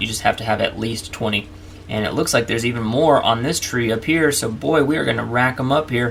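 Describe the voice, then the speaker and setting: A man's words come very fast, with ordinary pitch variation, while noticeable background noise runs underneath. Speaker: gaming youtuber. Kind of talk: let's play commentary. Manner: animated.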